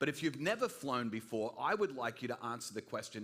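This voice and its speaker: Talking at a fairly quick pace, a man with an American accent uses a medium pitch that swings very widely. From Australia (New South Wales), American parents. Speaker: guest preacher. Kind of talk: sermon. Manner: energetic, casual.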